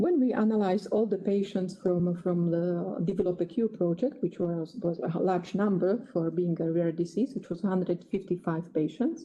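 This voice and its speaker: A woman with a Slovak accent talks at a moderate pace in a dark, mellow, somewhat breathy tone. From Slovakia. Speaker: geneticist. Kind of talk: lecture. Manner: halting.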